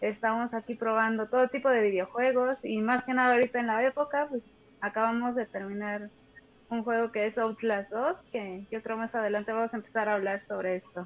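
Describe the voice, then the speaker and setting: A woman's fairly high pitch in a Mexican accent, with fairly even intonation and a fairly quick pace. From Mexico. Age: 20s. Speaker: streamer. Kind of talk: casual chat. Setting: on mobile phone.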